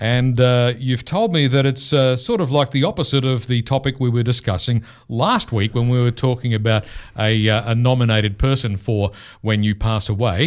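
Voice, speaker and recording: A man with an Australian accent talks at a medium pitch and a moderate pace, keeping very even loudness and ordinary pitch variation. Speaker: radio host. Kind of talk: radio interview. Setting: radio studio.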